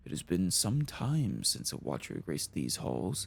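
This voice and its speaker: A man puts on a character voice with very wide pitch swings. He speaks at a moderate pace over clear background noise. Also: very deep, low pitch for a man. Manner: solemn.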